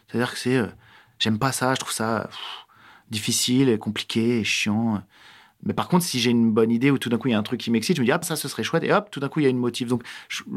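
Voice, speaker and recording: This man talks at a very fast pace but leaves long, frequent pauses. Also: medium pitch for a man, ordinary pitch variation, very clean recording, silent background. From France, Alsace (Strasbourg). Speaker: actor and screenwriter. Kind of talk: casual interview. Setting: improvised studio in a neighbourhood.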